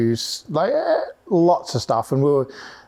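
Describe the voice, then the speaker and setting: Speaking with an Australian accent, a man delivers his words at a fairly slow pace. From Australia, Melbourne. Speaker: motorsport electronics specialist and race driver. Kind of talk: casual podcast chat.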